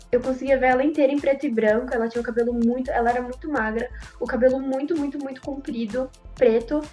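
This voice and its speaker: Music plays in the background as a woman speaks fairly quickly in a high pitch with fairly even intonation. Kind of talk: personal horror story told in podcast.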